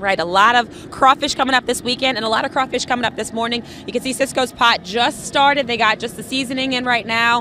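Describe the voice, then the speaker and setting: Talking at a very fast pace with hardly any pauses, a woman with a high-pitched voice is heard over noticeable background noise. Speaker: TV morning news reporter. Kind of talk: live TV news segment. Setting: outdoors on location.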